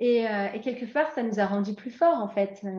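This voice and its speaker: A woman with a slight English accent, fairly high-pitched and somewhat breathy. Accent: slight English tinge to her French. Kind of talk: casual interview.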